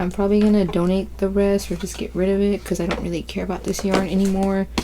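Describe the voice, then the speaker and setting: This is a woman talking. She speaks quietly. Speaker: crochet vlogger. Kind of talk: casual chat. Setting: at home, bedroom. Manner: casual, slangy.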